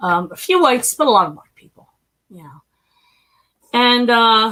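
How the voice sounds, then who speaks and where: A woman with a fairly high pitch speaks at a moderate pace, with very wide pitch swings and big swings in loudness. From US Northeast, North Philadelphia. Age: 50s. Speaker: human trafficking survivor and stock trader. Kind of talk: interview testimony. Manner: animated.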